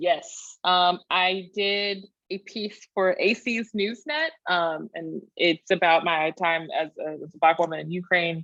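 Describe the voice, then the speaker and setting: With a Texan accent, a woman speaks very slowly at a fairly low pitch, with hardly any pauses. Her pitch varies in an ordinary way, while her loudness swings a lot. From rural Texas. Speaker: historian, PhD candidate. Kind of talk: Q&A after academic talk.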